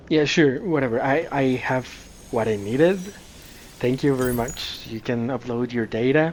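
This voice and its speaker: The speech moves at a moderate pace with noticeable background noise behind it. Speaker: gaming video creator. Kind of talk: gameplay commentary.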